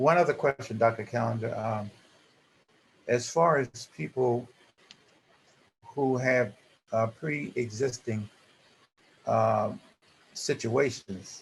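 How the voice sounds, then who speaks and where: At a very slow pace with long, frequent pauses, a man speaks in a medium pitch, somewhat breathy, with ordinary pitch variation. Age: 70s. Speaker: support group member, transplant patient. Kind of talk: group discussion on video call. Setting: video call. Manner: halting, many fillers.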